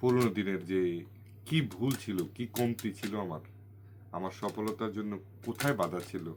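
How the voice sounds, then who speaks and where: A man with a fairly low pitch and ordinary pitch variation speaks on a very clean recording with a silent background. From Bangladesh, Comilla region. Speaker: food channel vlogger. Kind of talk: new year greeting message to viewers.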